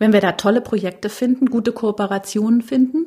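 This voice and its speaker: A woman speaks at a fairly high pitch in a somewhat breathy way. Her tone is dark and mellow. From Bavaria. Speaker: TV fiction executive. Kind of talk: interview.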